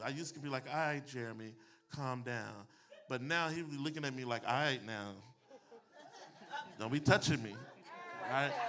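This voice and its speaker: This man speaks fairly quickly in an animated tone, with a fairly high pitch. Room echo is audible. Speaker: pastor and public speaking coach. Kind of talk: motivational talk to a live audience. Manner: preachy, animated delivery.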